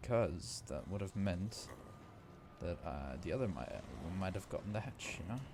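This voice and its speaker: A quiet man with a very deep, low voice and vocal fry speaks at a moderate pace, his intonation lively and broken by long, frequent pauses. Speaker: gaming youtuber. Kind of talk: gameplay commentary. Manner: quiet, subdued.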